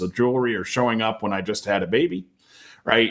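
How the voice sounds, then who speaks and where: Using an ordinary speaking voice, a man speaks at a fairly quick pace with ordinary pitch variation. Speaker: technology industry strategist. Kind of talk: webinar panel discussion. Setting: video call.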